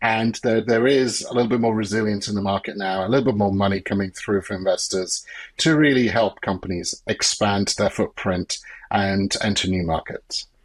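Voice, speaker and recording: Here a man speaks with a British accent at a moderate pace. His pitch is fairly low, and his intonation is fairly even. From UK. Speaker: business consultant. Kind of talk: podcast interview.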